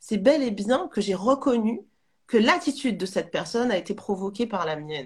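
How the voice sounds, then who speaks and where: A woman's somewhat breathy, fairly high voice moves at a fairly quick pace with very wide pitch swings. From Martinique. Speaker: spiritual coach. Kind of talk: live interview. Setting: online live stream.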